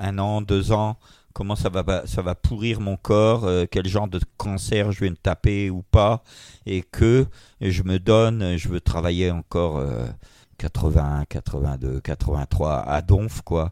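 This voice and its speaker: This man's voice is very deep and low, with a dark, mellow tone, ordinary pitch variation and a very slow pace, captured as a very clean recording with a silent background and a dry, close sound with no echo. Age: 60s. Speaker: manga publisher. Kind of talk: interview. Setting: at his home. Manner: halting.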